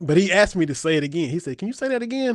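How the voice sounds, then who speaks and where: An animated man's voice in a Kentucky accent. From southeastern Kentucky, Appalachian mountains. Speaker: sports podcast host. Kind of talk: casual chat.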